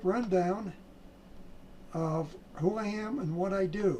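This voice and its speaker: A man with an American accent, high pitch and ordinary pitch variation, over noticeable background noise. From US Midwest (South Dakota). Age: 70s. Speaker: trading educator. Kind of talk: sales pitch. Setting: home office. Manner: halting.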